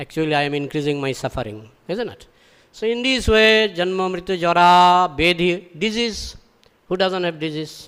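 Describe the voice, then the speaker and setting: A man with a Bengali accent speaks at a moderate pace in a high pitch with ordinary pitch variation. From Bengal, India. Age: 60s. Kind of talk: scripture lecture. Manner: repetitive, rhetorical questions.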